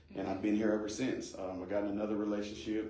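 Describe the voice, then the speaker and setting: A man with an American accent talks at a very fast pace in a fairly low, flat monotone, with audible room echo and noticeable background noise. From US Midwest (Ohio, Kansas; born Las Vegas). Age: 30s. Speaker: pastor, court worker and county judge candidate. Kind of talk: podcast interview. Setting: studio.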